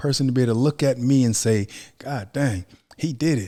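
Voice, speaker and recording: On a very clean recording with a silent background, a man with an American accent talks at a fairly quick pace in a dark, mellow tone, his medium pitch showing ordinary variation. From Ohio, Youngstown. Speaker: actor and motivational speaker. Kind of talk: podcast interview.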